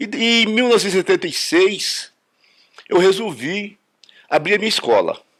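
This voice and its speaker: This is a man speaking. His intonation is lively. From Brazil, Rio de Janeiro then Brasília. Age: 70s. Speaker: judo master. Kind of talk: interview testimony. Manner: halting, repeats words.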